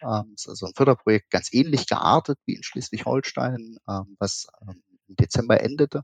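The sound is dry and close, with no echo. A man speaks at a medium pitch in an unremarkable speaking voice. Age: 30s. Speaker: esports association official. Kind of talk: casual interview.

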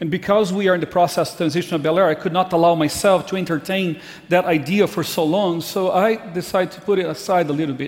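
Here a man talks in a high pitch with a Brazilian accent. His pitch varies in an ordinary way. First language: Portuguese. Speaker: pastor. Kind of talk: farewell speech. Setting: church.

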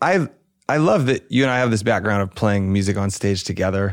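A man speaks with an American accent. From US South, Alabama. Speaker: touring drummer. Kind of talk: casual chat. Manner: animated.

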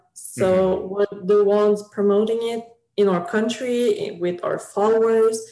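Fairly slow and with fairly even intonation, a plain, everyday voice talks. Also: woman, fairly high pitch for a woman. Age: 20s. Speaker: fan website creator. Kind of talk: casual chat.

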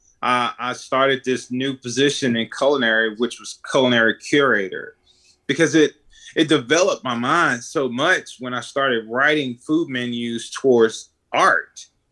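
Against a quiet background, a man with a Mississippi accent speaks at a moderate pace in a medium pitch, with a bright, sharp tone and fairly even intonation. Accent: Southern US (Mississippi). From US South, Mississippi (Edwards, near Jackson). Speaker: chef. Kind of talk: casual interview.

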